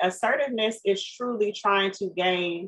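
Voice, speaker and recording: This woman's voice sits fairly high. She talks at a moderate pace. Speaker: podcast co-host; former school staff. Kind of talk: casual interview.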